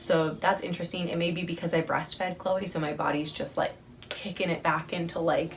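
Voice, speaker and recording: Noticeable background noise sits behind this recording. A woman talks over it at a medium pitch and a fairly quick pace. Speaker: vlogger. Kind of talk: casual vlog update.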